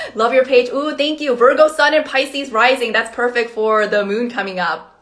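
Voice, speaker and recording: Speaking with a Korean accent, a woman talks at a moderate pace in a high pitch. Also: ordinary pitch variation. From South Korea, then Canada, raised mostly in California. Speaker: astrologer. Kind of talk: livestream talk. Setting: live video stream.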